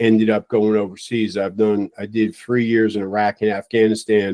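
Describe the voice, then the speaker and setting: The speaker has an American accent. The sound is dry and close, with no echo. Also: man. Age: 60s. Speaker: retired fire chief. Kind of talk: interview.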